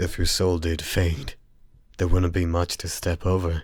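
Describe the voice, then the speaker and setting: A man doing a put-on character voice speaks very deep and low, monotone and flat, at a moderate pace on a very clean recording with a silent background. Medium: audio drama. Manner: mocking, condescending.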